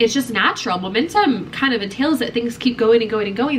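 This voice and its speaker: Over noticeable background noise, a woman with an American accent speaks at a very fast pace in an animated tone. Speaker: lifestyle vlogger. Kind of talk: casual vlog talk to camera.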